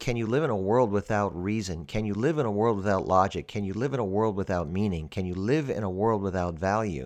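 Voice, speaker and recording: Very fast pace with hardly any pauses and ordinary pitch variation, over a quiet background. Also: man. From Pennsylvania, US. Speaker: podcast host. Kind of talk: scripted monologue.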